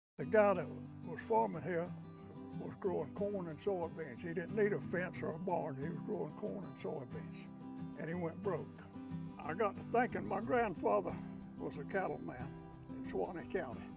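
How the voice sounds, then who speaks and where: With music in the background, a man at a fairly high pitch speaks in very wide pitch swings. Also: moderate pace. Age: 80s+. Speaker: regenerative cattle farmer. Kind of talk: interview answer.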